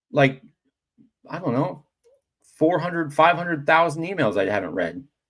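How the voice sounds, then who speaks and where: A man speaks at a moderate pace with a fairly high pitch and lively intonation. His voice has vocal fry. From United States. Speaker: livestream host. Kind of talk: casual chat.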